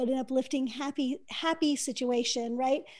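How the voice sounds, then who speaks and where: A woman speaks at a moderate pace in a high pitch, her tone dark and mellow. Her intonation stays fairly even on a very clean recording with a silent background. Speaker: podcast host. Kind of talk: casual chat. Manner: smiling, soothing.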